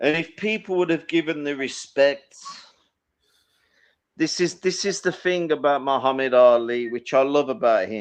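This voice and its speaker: Keeping a moderate pace with long, frequent pauses, a man speaks at a fairly high pitch with lively intonation over a quiet background. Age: 50s. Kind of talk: casual chat. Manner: animated.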